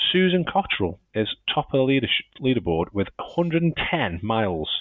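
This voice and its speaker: His pitch swings very widely. The man speaks at a very slow pace. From Stoke-on-Trent, England. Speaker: podcast host and editor. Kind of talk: casual chat, podcast. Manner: chatty, jokey.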